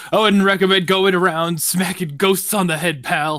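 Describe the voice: Using a gruff, put-on character voice, a man speaks high-pitched at a moderate pace with fairly even intonation.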